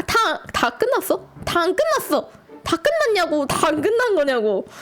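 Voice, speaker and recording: A woman puts on a shrill character voice at an extremely high pitch, with very wide pitch swings. She keeps a moderate pace over light background noise. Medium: game stream. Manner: brash, scolding, grumbling.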